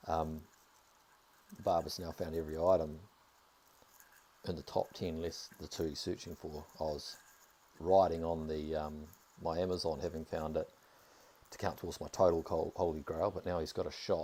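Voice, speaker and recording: A dark, mellow tone in a New Zealand accent, with monotone, flat intonation, a moderate pace and long, frequent pauses. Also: man, very deep, low pitch for a man. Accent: New Zealand accent, similar to Australian. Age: 30s. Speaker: video game streamer. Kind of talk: casual live-stream commentary.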